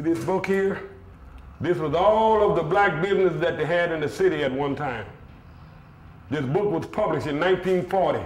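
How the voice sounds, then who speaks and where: A man speaks at a high pitch and a moderate pace, with ordinary pitch variation. He leaves long, frequent pauses over noticeable background noise. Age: 70s. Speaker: community center founder. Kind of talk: documentary interview, tour of flood-damaged building.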